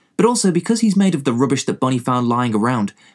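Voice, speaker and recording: An English accent, very clean recording with a silent background. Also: man. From England. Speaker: movie blogger and podcaster. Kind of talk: casual sweary movie review podcast. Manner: casual, irreverent, sweary.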